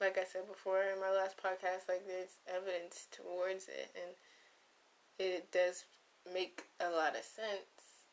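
A quiet woman's voice, medium in pitch, with monotone, flat intonation at a fairly slow pace. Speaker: podcast host, college student. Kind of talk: casual solo monologue. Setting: dorm room. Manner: quiet, low energy.

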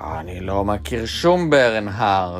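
A man uses a put-on character voice at a fairly low pitch. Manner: growling.

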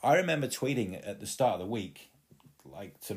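In a very clean recording with a silent background, a man with an East Midlands accent talks at a moderate pace with lively intonation. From England, East Midlands (Leicester). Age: 30s. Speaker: podcast host. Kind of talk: solo podcast monologue. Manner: animated.

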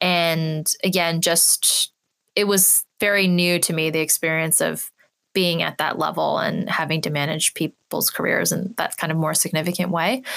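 In an American accent, a woman with a fairly low pitch speaks at a moderate pace with fairly even intonation and very even loudness, an unremarkable speaking voice captured with a dry, close sound and no echo. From California. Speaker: advertising strategist and platform founder. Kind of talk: interview. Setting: studio.

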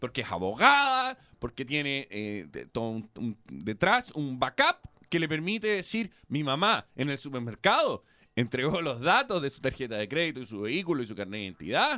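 Over music in the background, a man with a Chilean accent talks at a fairly quick pace, his pitch swinging very widely. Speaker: radio host. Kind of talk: casual chat.

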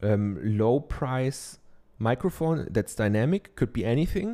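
A man with a German accent, a dark, mellow tone and medium pitch, in a very clean recording with a silent background. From Germany. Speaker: podcast host and online course teacher. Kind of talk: solo podcast monologue, tutorial-style advice. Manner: filler-heavy, halting with many ums.

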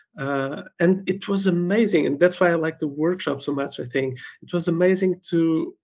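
Speaking at a fairly slow pace, a man has a Portuguese accent. His pitch is fairly high and his intonation fairly even. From Portugal. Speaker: medical doctor, event participant. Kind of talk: interview.

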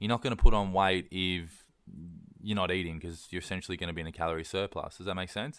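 A man with an Australian accent talks at a very fast pace in a very deep, low voice. His intonation stays fairly even while his loudness swings widely. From east coast Australia. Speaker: online personal trainer. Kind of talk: casual interview.

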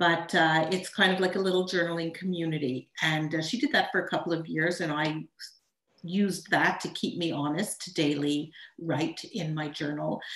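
This woman speaks in a Montreal accent. Her fairly low voice keeps a fairly even intonation. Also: moderate pace. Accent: Canadian (Montreal) English. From Montreal, Canada. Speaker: ghostwriter and storytelling coach. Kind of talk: personal story in interview.

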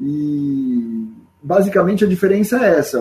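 Somewhat breathy and dark, mellow in tone, a man speaks with ordinary pitch variation. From Brazil, São Paulo state (Barretos). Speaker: flag football player and coach. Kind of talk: casual sports chat.

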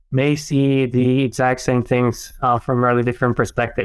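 A man with a Czech accent talks at a moderate pace in monotone, flat intonation. The recording is very clean, with a silent background. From Czech Republic. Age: 40s. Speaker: professor. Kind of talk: casual interview conversation.

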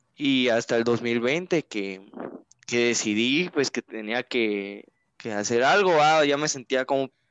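Lively intonation marks this man's medium-pitched voice. He talks at a very slow pace. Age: 20s. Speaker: engineering student and youth church leader. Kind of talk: interview. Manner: hesitant, many fillers.

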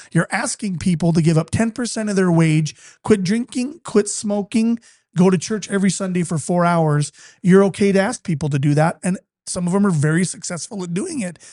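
Over a quiet background, a man with an American accent talks at a fairly quick pace in a high pitch with a dark, mellow tone and ordinary pitch variation, the sound dry and close with no echo. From Utah. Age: 40s. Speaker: company executive. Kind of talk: casual chat. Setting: studio.

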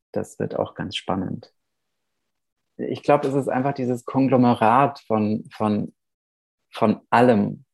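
At a very slow pace, a man with a medium pitch and vocal fry speaks with fairly even intonation and long, frequent pauses. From Germany, Nuremberg (born in Romania). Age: 30s. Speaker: playwright. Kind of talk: interview.

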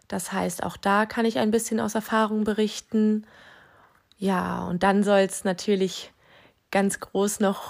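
Very slowly, with long and frequent pauses, a woman speaks in fairly even intonation. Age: 20s. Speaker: parenting podcast host, new mother. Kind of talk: solo podcast monologue.

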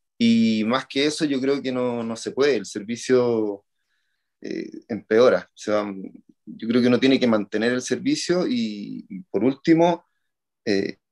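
A man speaks in an unremarkable speaking voice at a medium pitch, with ordinary pitch variation and a fairly slow pace. His loudness swings widely, and the sound is dry and close with no echo. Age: 40s. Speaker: triathlon coach. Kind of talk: interview.

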